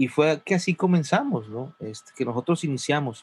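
A man's ordinary speaking voice at a fairly high pitch, moderate in pace, with ordinary pitch variation. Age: 40s. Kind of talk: casual interview chat.

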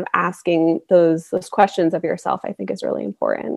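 A normal speaking voice with an American accent, fairly even intonation and a moderate pace, in a dry, close sound with no echo. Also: woman. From US South, North Carolina. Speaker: confidence coach. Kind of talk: casual interview chat.

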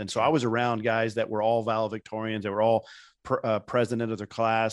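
Over a quiet background, a man with a Midwestern American accent speaks in a monotone, flat intonation, the sound dry and close with no echo. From Indiana. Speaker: professional speaker and author. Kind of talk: interview conversation.

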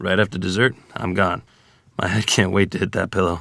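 Putting on a character voice, a man sounds raspy and very deep, low in pitch. He talks at a fairly quick pace with fairly even intonation. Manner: dry, teasing.

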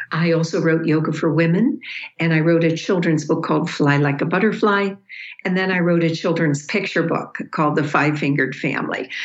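Over noticeable background noise, a woman with a fairly low pitch speaks at a fairly quick pace, with very even loudness and ordinary pitch variation. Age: 70s. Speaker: yoga teacher and author. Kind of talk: interview.

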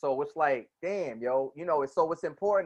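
A man with an unremarkable speaking voice and an American accent, at a moderate pace with ordinary pitch variation. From New Jersey. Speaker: podcast host. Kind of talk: casual chat.

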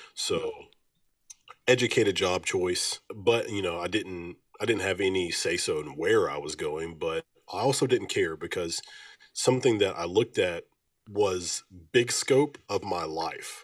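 Speaking at a fairly slow pace with long, frequent pauses, a man with a Southern US accent is heard in a very clean recording with a silent background. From Alabama. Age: 20s. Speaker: music label owner and military veteran. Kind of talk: casual interview.

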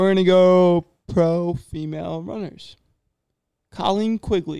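A man with an American accent speaks at a very slow pace. His voice is high, with fairly even intonation. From New Jersey. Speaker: podcast co-host, runner. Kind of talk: casual chat. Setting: recording in a house.

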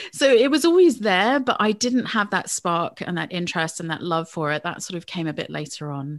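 A woman with a fairly low pitch talks at a fairly quick pace, leaving hardly any pauses. Her pitch swings very widely. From England. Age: 40s. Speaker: money coach. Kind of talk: interview.

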